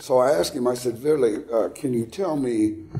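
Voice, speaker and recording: There is music in the background. A man talks at a moderate pace with an American accent. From Texas. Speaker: actor and military reenactor. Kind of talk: casual chat. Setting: interview. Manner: halting.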